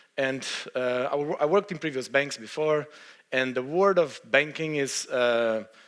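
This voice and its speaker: A man talks with a Brazilian accent. His pitch sits in the medium range. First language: Portuguese. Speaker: software engineer. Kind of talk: conference talk. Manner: hesitant, many fillers.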